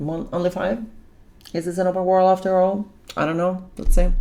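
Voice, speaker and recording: A woman at medium pitch talks at a moderate pace in an animated tone. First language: not English. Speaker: gaming reaction youtuber. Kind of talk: reaction commentary.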